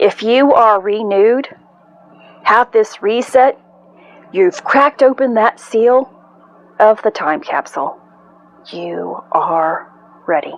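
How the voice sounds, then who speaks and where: A woman with a fairly high pitch and lively intonation speaks at a very slow pace, with long, frequent pauses. The sound is dry and close with no echo, though there is noticeable background noise. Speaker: spiritual channel host. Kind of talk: spiritual energy update monologue. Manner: pauses often; excited.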